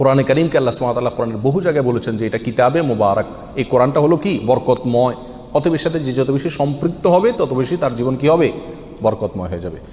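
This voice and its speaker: Noticeable background noise sits behind this speaker. He is a man of medium pitch with lively intonation. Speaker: Islamic preacher. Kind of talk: Islamic sermon (waz).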